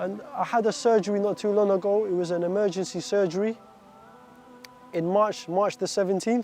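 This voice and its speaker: This man has a high pitch. He speaks at a fairly quick pace. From Iraq, raised from age 7 in an English-speaking country. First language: Arabic. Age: 20s. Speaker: stabbing survivor telling his story. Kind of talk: personal testimony. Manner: halting, with restarts and repetitions.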